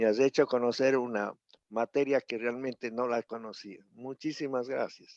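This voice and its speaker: Recorded with a dry, close sound and no echo, a man speaks at a fairly slow pace in a monotone, flat voice of medium pitch. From Ecuador, Cuenca. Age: 70s. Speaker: audience member. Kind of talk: audience comment.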